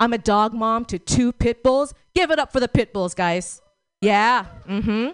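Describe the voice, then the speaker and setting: A woman's fairly high voice with an American accent, an ordinary speaking voice, lively intonation and a fairly slow pace. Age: 40s. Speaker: stand-up comedian. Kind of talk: stand-up comedy. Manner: warm, chatty, crowd-engaging.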